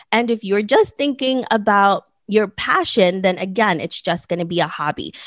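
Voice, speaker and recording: An ordinary speaking voice from a woman, medium in pitch, with ordinary pitch variation at a moderate pace, on a very clean recording with a silent background and a dry, close sound with no echo. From born in the Philippines, raised in the US. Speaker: podcaster and entrepreneur, former documentary photographer. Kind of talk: interview.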